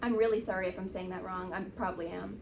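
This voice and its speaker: A woman speaking very fast with fairly even intonation, amid noticeable background noise and audible room echo. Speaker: book reviewer. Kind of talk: casual chat.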